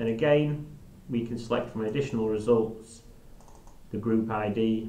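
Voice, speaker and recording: There's audible room echo as a man speaks at a medium pitch with ordinary pitch variation. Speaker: software trainer. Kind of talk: live software demo tutorial. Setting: live stream.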